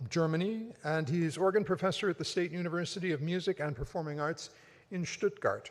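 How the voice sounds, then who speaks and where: A man speaks in a high pitch. The recording is very clean, with a silent background. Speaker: competition emcee. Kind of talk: event announcements. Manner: fast.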